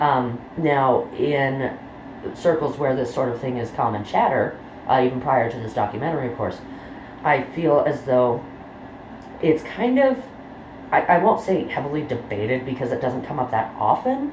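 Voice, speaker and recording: Noticeable background noise runs under speech at a moderate pace with long, frequent pauses. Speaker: true crime YouTuber. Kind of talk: casual talk to camera. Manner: rambling, many filler words.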